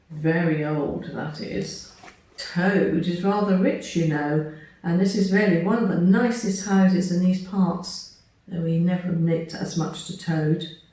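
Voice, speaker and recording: A woman speaks at a fairly slow pace with fairly even intonation and a fairly low pitch. Noticeable background noise runs underneath. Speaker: storyteller. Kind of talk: children's story reading.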